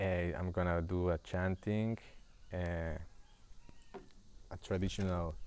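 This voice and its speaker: A man talks very slowly with a Spanish accent, leaving long, frequent pauses. His pitch is very deep and low, and his intonation is flat and monotone. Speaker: spiritual guide. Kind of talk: livestream spiritual talk. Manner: halting.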